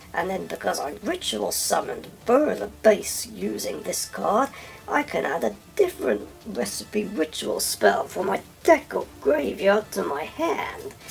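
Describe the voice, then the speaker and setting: A raspy, put-on character voice moves at a fairly slow pace. Clear background noise runs underneath. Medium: machinima. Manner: breezy, playful.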